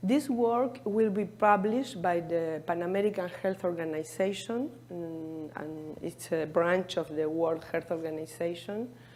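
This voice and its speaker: A woman with an Argentine accent speaks at a fairly slow pace and a fairly low pitch. Her tone is dark and mellow, with audible room echo. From Argentina. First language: Spanish. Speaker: cardiologist. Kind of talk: conference presentation. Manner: halting.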